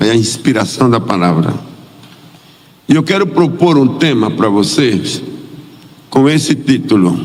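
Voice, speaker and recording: A man speaks at a fairly slow pace. There's noticeable background noise and audible room echo. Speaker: missionary pastor. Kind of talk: sermon. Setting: church.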